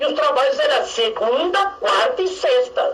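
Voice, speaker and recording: A man at a moderate pace with audible room echo and noticeable background noise. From Brazil, São Paulo. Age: 60s. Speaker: religious leader and activist. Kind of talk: radio interview. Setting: radio studio.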